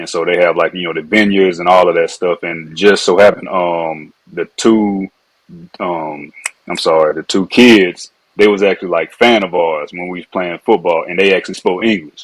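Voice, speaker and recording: With a Louisiana accent, a man speaks at a very deep, low pitch and a moderate pace, his intonation fairly even. His loudness swings widely, and the sound is dry and close with no echo. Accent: Louisiana accent, noticeable. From Louisiana (Alexandria), then Fayetteville, North Carolina. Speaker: former pro football player, wine entrepreneur. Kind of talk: podcast interview.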